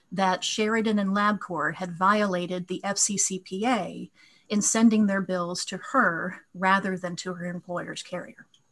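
At a fairly slow pace, a woman speaks with fairly even intonation against a quiet background. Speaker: appellate lawyer. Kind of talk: oral legal argument. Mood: formal, measured. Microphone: video call.

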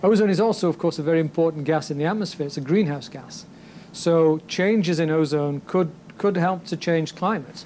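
Light background noise sits behind a man with a high voice and a dark, mellow tone. He talks at a fairly quick pace with ordinary pitch variation. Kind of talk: interview answer. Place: office.

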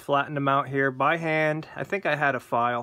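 With an American accent, a man speaks at a fairly quick pace in a fairly high, bright, sharp voice with fairly even intonation over a quiet background. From Pennsylvania. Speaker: gun owner, military veteran. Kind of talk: casual video tutorial. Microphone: phone near.

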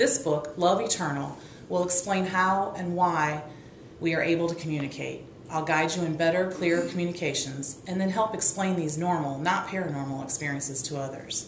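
A woman with an American accent and fairly low pitch, moderate pace, ordinary pitch variation, audible room echo and light background noise. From US Midwest. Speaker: author. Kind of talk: scripted book promotion talk. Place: home room. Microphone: webcam.

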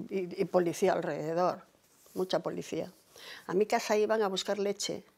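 A woman with vocal fry talks at a moderate pace with ordinary pitch variation. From Cantabria, Spain. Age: 80s+. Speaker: oral history interviewee; interviewee. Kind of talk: life story interview. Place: home room.

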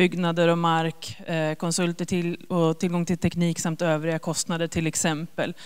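A fairly low-pitched woman speaking at a fairly slow pace against a quiet background. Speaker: government agency officer; presenter. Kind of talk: informational presentation. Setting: stage with audience. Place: hall. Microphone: handheld.

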